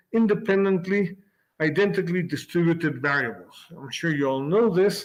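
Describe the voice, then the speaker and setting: This man's voice sits at a high pitch. He speaks in a Spanish accent. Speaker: physics professor. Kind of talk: lecture. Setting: video call. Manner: halting, with repeated words.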